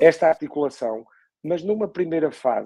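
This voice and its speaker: A man speaks in a dark, mellow tone at a moderate pace. His intonation is lively. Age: 60s. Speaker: podcast host. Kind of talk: interview conversation. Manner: halting, many repetitions.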